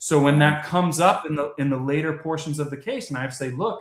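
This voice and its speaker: With an American accent, a man talks at a very fast pace. His pitch is fairly high. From Florida, Palm Beach County. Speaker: personal injury lawyer. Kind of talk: interview.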